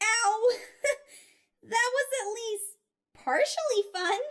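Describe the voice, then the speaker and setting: In a cartoonish character voice, the speaker talks at extremely high pitch and a very slow pace. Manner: upbeat.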